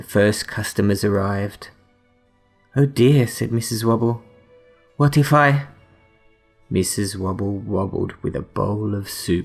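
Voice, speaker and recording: Calm and quiet, the speaker goes at a fairly slow pace with long, frequent pauses and ordinary pitch variation over music in the background. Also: man. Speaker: bedtime story reader. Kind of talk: bedtime story reading. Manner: calm, quiet.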